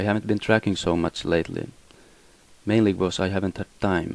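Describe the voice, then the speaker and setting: With a Swedish accent, a man talks at a fairly quick pace and fairly low pitch, his intonation fairly even, in a dry, close sound with no echo. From Finland. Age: 20s. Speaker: musician. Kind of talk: personal statement. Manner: halting.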